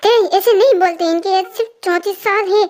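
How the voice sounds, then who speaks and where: A squeaky, put-on character voice with fairly even intonation. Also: woman, extremely high pitch for a woman, moderate pace. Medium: read story. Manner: stern.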